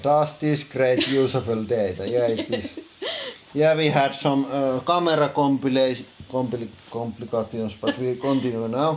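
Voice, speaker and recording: Over noticeable background noise, a man with a strong Finnish accent speaks at a fairly slow pace with fairly even intonation and long, frequent pauses. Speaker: streamer. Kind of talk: casual, answering chat.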